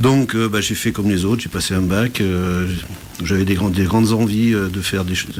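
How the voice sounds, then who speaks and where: A man's fairly low voice at a moderate pace, fairly even in intonation, with noticeable background noise. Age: 60s. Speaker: entrepreneur, business support network president. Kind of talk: radio interview.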